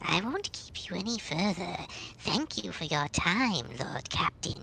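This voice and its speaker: A female-sounding put-on character voice talks at a moderate pace. Light background noise is audible. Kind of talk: formal, deferential.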